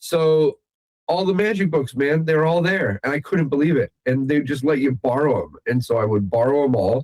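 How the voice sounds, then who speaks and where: In a dry, close sound with no echo, a man with an American accent and a plain, everyday voice talks at a moderate pace with lively intonation. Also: fairly high pitch for a man. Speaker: magician. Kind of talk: interview.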